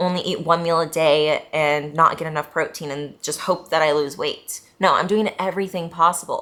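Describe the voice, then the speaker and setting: A woman's fairly low-pitched voice carries a bright, sharp tone. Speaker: fitness coach and vlogger. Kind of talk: vlog monologue. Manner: casual, many filler ums.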